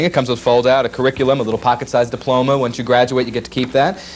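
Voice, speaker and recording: A man's very fast speech with fairly even intonation, over noticeable background noise. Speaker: world's fastest talking man, voice actor. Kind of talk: casual interview answer. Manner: fast, chatty, humorous.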